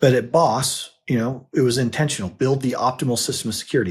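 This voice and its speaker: Over a very clean recording with a silent background, a man speaks at a moderate pace in a somewhat breathy voice. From US, Utah. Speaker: financial advisor and podcast co-host. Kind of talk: casual chat.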